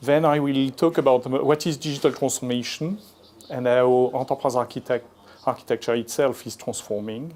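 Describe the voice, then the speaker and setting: A man with a French accent speaks at a medium pitch. His pace is moderate and his intonation fairly even. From France. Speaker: industry analyst. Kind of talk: conference presentation. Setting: conference stage with audience. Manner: halting, many fillers.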